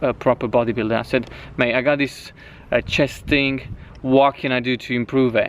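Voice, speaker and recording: A man speaks at a moderate pace with a Romanian accent. His pitch is medium and his intonation fairly even. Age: 20s. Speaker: fitness coach. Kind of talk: personal life story. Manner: casual, with frequent restarts and fillers.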